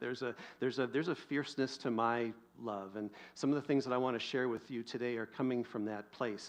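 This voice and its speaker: A man with a medium-pitched voice speaks at a very fast pace. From US Pacific Northwest. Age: 50s. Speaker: pastor. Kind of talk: sermon.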